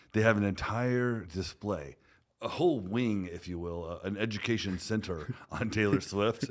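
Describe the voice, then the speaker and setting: In an American accent, a man with a fairly low pitch talks at a moderate pace in an ordinary speaking voice, his pitch varying in an ordinary way. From Texas. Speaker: podcast host, security company CEO. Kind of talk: podcast interview.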